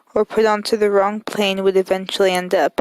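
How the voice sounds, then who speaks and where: Delivered at a moderate pace, the voice stays monotone and flat, with a dry, close sound and no echo. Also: woman. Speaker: channel host. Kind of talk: reading aloud. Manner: soft-spoken.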